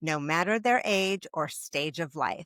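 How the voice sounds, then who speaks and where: A woman with an unremarkable speaking voice and fairly low pitch talks at a moderate pace with lively intonation, in a dry, close sound with no echo. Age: 50s. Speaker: podcast host. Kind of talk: scripted introduction; interview.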